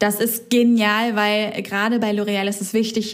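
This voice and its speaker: Noticeable background noise and audible room echo around a woman's voice of medium pitch. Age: 30s. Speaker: podcast co-host, former self-employed marketer. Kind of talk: casual chat.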